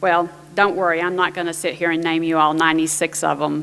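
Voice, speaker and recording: The speaker is a woman with a fairly low pitch. She has an American accent. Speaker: panel moderator, government IT official. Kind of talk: conference presentation.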